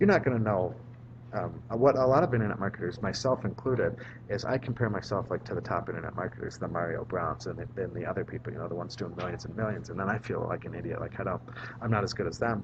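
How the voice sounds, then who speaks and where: Soft-spoken and very fast, a man with a medium pitch and ordinary pitch variation talks over noticeable background noise. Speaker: vlogger and marketing strategist. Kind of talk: casual vlog monologue. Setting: public library. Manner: soft-spoken, voice kept down; filler-heavy, repetitive.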